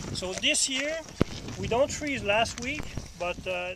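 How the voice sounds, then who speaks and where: Over noticeable background noise, a man with a French accent projects a raised voice at a high pitch with ordinary pitch variation. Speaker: vineyard owner. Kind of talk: guided tour talk. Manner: halting, many fillers.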